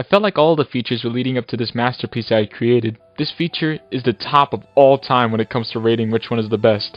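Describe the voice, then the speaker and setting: Here a man talks at a fairly quick pace in a normal speaking voice. His medium pitch shows ordinary pitch variation. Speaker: animator and YouTube creator. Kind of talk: retrospective narration. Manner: casual.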